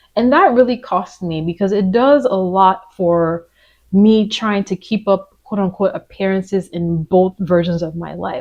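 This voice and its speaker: An unremarkable speaking voice from a woman with an American accent, medium in pitch, at a fairly slow pace with ordinary pitch variation. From Nigerian American. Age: 30s. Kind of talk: personal reflective talk to camera.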